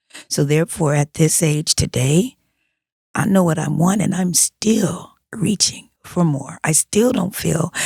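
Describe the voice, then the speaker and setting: Recorded with a dry, close sound and no echo, a woman speaks in an ordinary speaking voice. She goes fairly slowly, fairly low in pitch with ordinary pitch variation. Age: 60s. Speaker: music producer and theater writer. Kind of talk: podcast interview.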